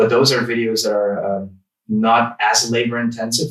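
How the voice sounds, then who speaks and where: A man's medium-pitched voice with a non-native accent. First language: not English. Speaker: tech YouTuber. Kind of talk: casual interview chat. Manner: halting, searching for words.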